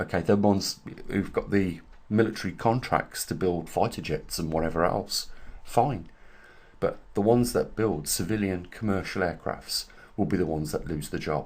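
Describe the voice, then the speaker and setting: This man has a very deep, low pitch with vocal fry. He talks at a moderate pace. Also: ordinary pitch variation. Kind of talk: casual talk to camera.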